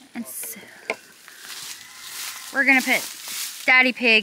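A woman speaks at a fairly slow pace. The sound is dry with no echo, and there is noticeable background noise. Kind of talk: casual vlog chat. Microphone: phone near.

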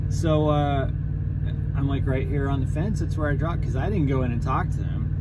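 A man at a fairly quick pace amid loud background noise. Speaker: truck driver vlogger. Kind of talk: casual vlog chat, storytelling. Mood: amused, relaxed. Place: car. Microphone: phone near.

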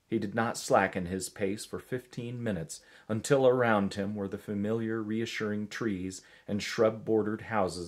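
Fairly even intonation in plain reading aloud

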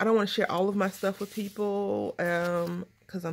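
Southern US accent from a woman at medium pitch. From Texas. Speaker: craft video creator. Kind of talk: casual crafting tutorial. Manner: nervous chatter.

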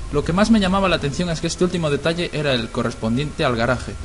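A man speaks at a very fast pace with a fairly high pitch. Noticeable background noise is present. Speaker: creepypasta narrator. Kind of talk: scripted horror story narration, first person; ghost story telling, tense and hushed, building dread.

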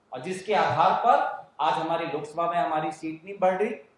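A man's voice, with ordinary rises and falls in pitch, carries an audible room echo. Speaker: politician at press conference. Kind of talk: press conference statement. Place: hall.

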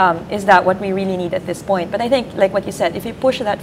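At a very fast pace, a woman speaks in a medium pitch with ordinary pitch variation over noticeable background noise. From Philippines. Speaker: sociologist. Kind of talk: live election-night panel discussion. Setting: studio. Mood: thoughtful, analytical. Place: office. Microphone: lapel.

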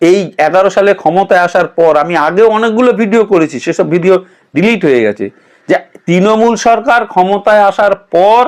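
Speaking in an animated tone with a high pitch, a man keeps his loudness very even. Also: ordinary pitch variation. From West Bengal. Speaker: political commentator. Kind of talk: political commentary monologue.

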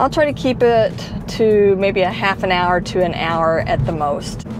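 Against music in the background, a woman speaks at a moderate pace with ordinary pitch variation, in a dry sound with no echo. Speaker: delivery driver vlogger. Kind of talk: casual vlog chat. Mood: relaxed, slightly nervous about live. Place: car. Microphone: lapel.

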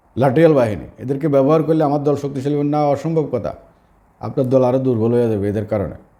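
With audible room echo, a man speaks at medium pitch in a dark, mellow tone with ordinary pitch variation. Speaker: social media commentator. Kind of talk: political commentary monologue. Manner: informal, colloquial with dialect words.

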